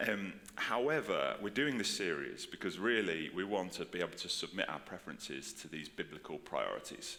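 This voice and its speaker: A man speaks at a fairly quick pace. Audible room echo and noticeable background noise are present. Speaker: pastor. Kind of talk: sermon. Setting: church with congregation. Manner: casual, filler-heavy.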